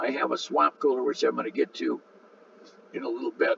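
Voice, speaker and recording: Amid noticeable background noise, a man talks at a moderate pace in a dry, close sound with no echo. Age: 70s. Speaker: full-time RV vlogger. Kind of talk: casual video narration over photos. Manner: halting, many fillers.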